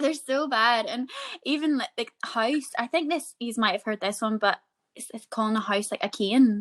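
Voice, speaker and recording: At a moderate pace, a woman speaks in a high pitch, the sound dry and close with no echo. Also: ordinary pitch variation. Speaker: podcast co-host. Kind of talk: casual chat.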